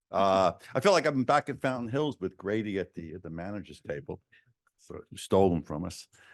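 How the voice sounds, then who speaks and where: A man with a New York accent talks with lively intonation and big swings in loudness, recorded with a dry, close sound and no echo against a quiet background. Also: fairly low pitch for a man, fairly quick pace. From New York City. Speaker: state senator. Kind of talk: speech to town council. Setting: council chamber podium. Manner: frequent hesitations.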